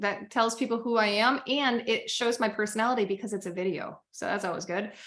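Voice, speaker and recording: Loud and quick, a woman speaks with a fairly high pitch at a fairly quick pace. Her tone is bright and sharp. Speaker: business coach. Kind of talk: webinar tutorial.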